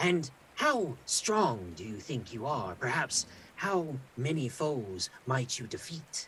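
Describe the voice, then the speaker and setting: Putting on a character voice, a man talks at a fairly slow pace with a medium pitch. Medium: actual play. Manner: poised, sly, measured.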